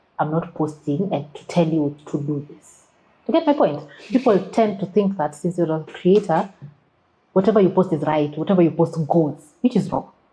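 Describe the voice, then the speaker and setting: A woman with a Kenyan accent, fairly low in pitch, with ordinary pitch variation, at a moderate pace. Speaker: social media creative specialist. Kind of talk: podcast interview. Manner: assertive; code-switches into Swahili.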